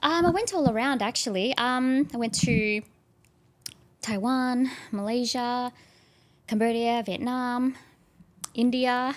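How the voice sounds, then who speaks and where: A woman speaks with an Australian accent at a high pitch. Her pace is very slow, with long, frequent pauses. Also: ordinary pitch variation. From Australia, Melbourne area. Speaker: actress and content creator. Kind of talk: casual chat.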